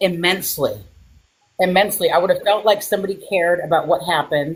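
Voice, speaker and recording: The speaker's voice is somewhat breathy, moving at a very fast pace with very even loudness and fairly even intonation. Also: woman, medium pitch for a woman. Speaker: crime survivor. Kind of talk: interview testimony.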